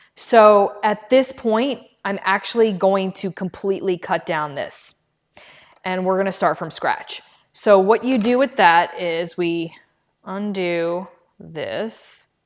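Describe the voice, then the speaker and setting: A woman talks at a very slow pace and a medium pitch. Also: ordinary pitch variation. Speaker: live-stream host. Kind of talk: tutorial. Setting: live stream. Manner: loud; casual chatty.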